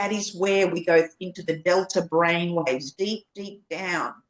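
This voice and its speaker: Very slowly, a woman talks at a fairly low pitch with ordinary pitch variation. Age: 60s. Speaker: birth educator. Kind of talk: podcast interview.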